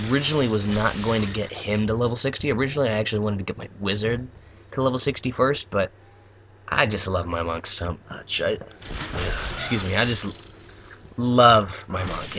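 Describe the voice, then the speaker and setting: A quiet man with a fairly low pitch, speaking at a moderate pace. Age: young. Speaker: gaming YouTuber. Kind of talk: casual gameplay commentary. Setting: at home at night. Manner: halting.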